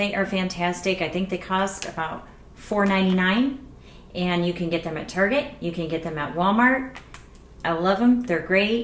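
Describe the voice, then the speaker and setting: There is audible room echo as a woman speaks at a medium pitch. Her pace is moderate, with ordinary pitch variation. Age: 40s. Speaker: beauty vlogger. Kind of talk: casual tutorial vlog. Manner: soft-spoken.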